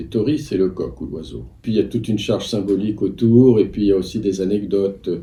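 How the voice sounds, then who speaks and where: A man speaks with lively intonation and a dark, mellow tone. Vocal fry runs through his voice. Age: 60s. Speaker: antiques dealer. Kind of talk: interview. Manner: hesitant, many fillers.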